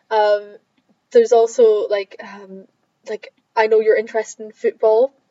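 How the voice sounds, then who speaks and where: A woman with an Edinburgh accent speaks in a fairly high, monotone, flat voice at a moderate pace. Her loudness swings widely, and she leaves long, frequent pauses. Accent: Scottish (Edinburgh). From Scotland, Edinburgh. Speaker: student podcast host. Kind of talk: casual chat.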